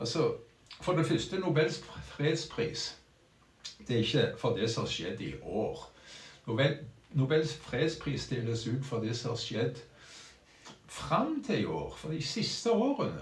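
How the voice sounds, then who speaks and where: A man with vocal fry and lively intonation at a fairly slow pace, with long, frequent pauses and audible room echo. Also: fairly high pitch for a man. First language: Norwegian. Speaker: streamer. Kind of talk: casual live stream talk. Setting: small room at home. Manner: halting.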